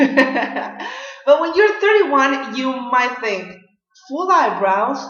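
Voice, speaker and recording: In an audible room echo, a woman with a Mexican accent speaks at a very slow pace and a high pitch, with very wide pitch swings. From Mexico. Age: 30s. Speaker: beauty vlogger. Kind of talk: tutorial.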